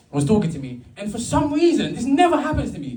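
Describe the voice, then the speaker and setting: A man talking at a very fast pace, with very wide pitch swings and audible room echo. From London (Brixton). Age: 30s. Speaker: stand-up comedian. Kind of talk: stand-up. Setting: stage with audience. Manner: halting, repeated words.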